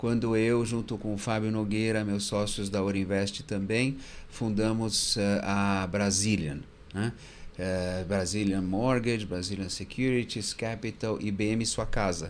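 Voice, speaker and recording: A man speaks at a fairly low pitch and a fairly slow pace. His intonation stays fairly even, with audible room echo around him. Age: 60s. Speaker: fund manager. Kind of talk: interview.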